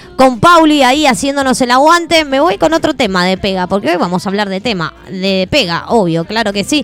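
Over background music, a woman talks fairly quickly and animatedly at a fairly high pitch, her pitch swinging very widely with hardly any pauses. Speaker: radio host. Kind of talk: live radio chat.

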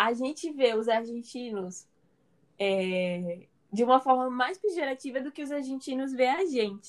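A woman with a high pitch speaks at a fairly slow pace using lively intonation. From Brazil, São Paulo. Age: 20s. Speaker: medical student. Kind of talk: casual chat.

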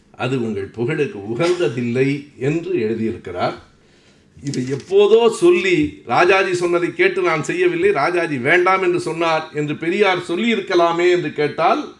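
There is audible room echo around this man's high-pitched voice. His pitch varies in an ordinary way. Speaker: public lecturer. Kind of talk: lecture. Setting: hall with audience. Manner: formal.

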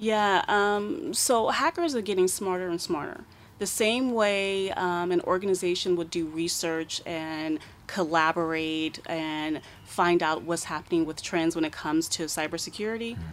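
Someone with an American accent talks at a moderate pace with ordinary pitch variation in a plain, everyday voice. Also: woman, fairly low pitch for a woman. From United States. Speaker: cybersecurity expert. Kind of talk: radio interview. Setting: radio studio.

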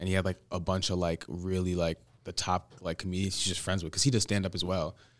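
A man with a very deep, low pitch at a very fast pace, on a very clean recording with a silent background. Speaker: college athlete and clothing brand co-founder. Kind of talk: casual chat.

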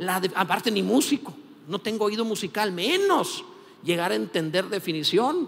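A man talks at a moderate pace, his pitch swinging very widely, over noticeable background noise. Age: 50s. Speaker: pastor. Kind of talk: sermon.

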